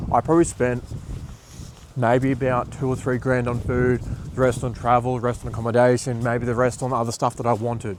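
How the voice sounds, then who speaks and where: Over noticeable background noise, a man with an Australian accent talks at a fairly quick pace in a monotone, flat delivery at a medium pitch. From Australia (Bundaberg, Queensland). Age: 20s. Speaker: marketing agency owner and business coach. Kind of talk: motivational talk to camera. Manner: casual, filler-heavy.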